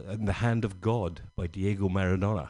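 With a Scottish accent and a dark, mellow tone, a man speaks at a moderate pace over a quiet background. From Scotland, Glasgow area. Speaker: stand-up comedian. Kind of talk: stand-up.

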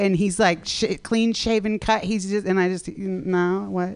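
A woman talks at a moderate pace with ordinary pitch variation, the background quiet. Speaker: stand-up comedian. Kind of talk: stand-up. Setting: stage with audience. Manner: energetic.

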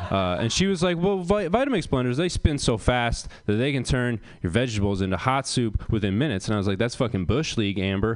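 A man's plain, everyday voice with an American accent, medium in pitch and at a fairly quick pace. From US Northeast, rural Maine. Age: 20s. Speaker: comedian. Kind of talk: stand-up. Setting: stage with audience.

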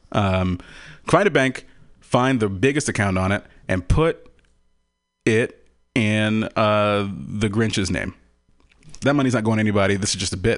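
A man with an American accent speaks in a fairly low pitch and an animated tone, at a moderate pace with ordinary pitch variation. Long, frequent pauses break up his speech, and the background is quiet. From Texas. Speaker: actor and standardized patient. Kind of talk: casual chat. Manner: animated, laughs often.

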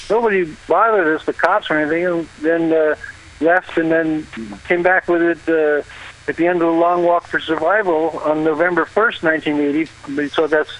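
Over noticeable background noise, a man with a high pitch speaks at a moderate pace, with fairly even intonation and very even loudness. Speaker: caller reporting from an event. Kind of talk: live phone report. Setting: phone call from outdoors.

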